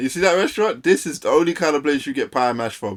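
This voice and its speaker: Over a very clean recording with a silent background, a man talks at a fairly quick pace with a London accent. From London, near Essex. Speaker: streamer reacting to videos. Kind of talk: casual live-stream reaction commentary. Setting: live stream. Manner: loud.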